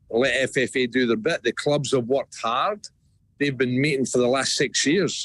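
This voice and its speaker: The sound is dry and close, without any echo. A man talks in a Scottish accent. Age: 60s. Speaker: football club CEO. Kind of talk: radio interview.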